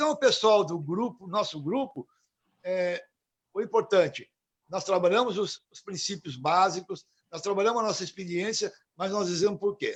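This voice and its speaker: At a moderate pace, a man with a high pitch speaks with ordinary pitch variation and big swings in loudness. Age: 70s. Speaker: recovering addict, support group coordinator. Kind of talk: casual chat.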